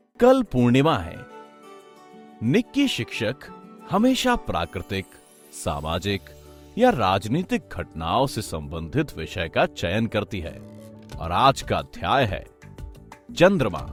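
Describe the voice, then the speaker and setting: Music plays in the background, and the speech has long, frequent pauses. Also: man. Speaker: voice actor. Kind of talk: cartoon narration.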